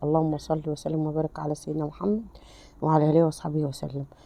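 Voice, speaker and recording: Very deep and low in pitch, a woman speaks at a fairly quick pace with a dark, mellow tone. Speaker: home cooking channel host. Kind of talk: cooking tutorial. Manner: animated.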